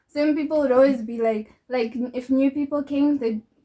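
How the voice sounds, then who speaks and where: Fairly slow and fairly even in intonation, a woman speaks with a dark, mellow tone. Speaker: younger sister of the hosts. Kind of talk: casual chat.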